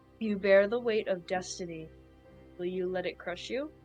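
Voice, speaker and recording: A woman does a put-on character voice at medium pitch. She speaks at a moderate pace with faint music in the background. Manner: solemn, weighty.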